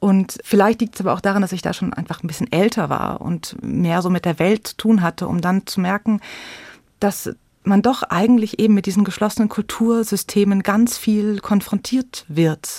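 A woman speaks at a moderate pace in a medium pitch, her voice somewhat breathy and her intonation fairly even. The sound is dry and close with no echo, and the recording is very clean against a silent background. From Munich, Bavaria. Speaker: storyteller and theatre educator. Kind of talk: interview.

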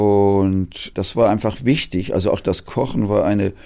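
Fairly low male pitch with vocal fry, a dark, mellow tone, ordinary pitch variation and a moderate pace. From Hamburg, Germany. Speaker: theology professor. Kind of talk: interview.

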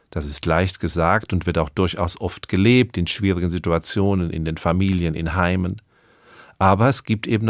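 A man's very deep, low, calm voice at a moderate pace with fairly even intonation, on a very clean recording with a silent background. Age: 60s. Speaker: radio preacher. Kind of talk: radio sermon.

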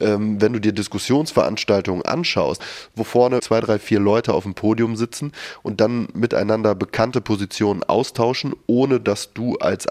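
A man with an unremarkable speaking voice talks at a moderate pace and a fairly low pitch. The sound is dry and close with no echo, over a quiet background. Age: 30s. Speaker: founder of a discussion initiative. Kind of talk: interview.

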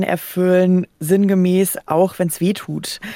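The woman's dark, mellow voice sits at a medium pitch, with a dry, close sound and no echo. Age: 30s. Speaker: podcast host. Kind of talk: radio interview.

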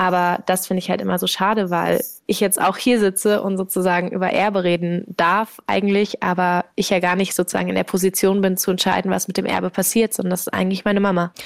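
Very fast and with hardly any pauses, a woman speaks at medium pitch in a monotone, flat intonation, her loudness very even. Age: 20s. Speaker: startup founder. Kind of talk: casual interview.

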